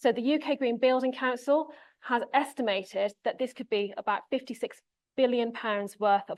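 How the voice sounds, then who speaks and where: Against a quiet background, a woman with an English accent speaks at a high pitch with ordinary pitch variation. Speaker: conference speaker, associate professor. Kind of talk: conference presentation. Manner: fast.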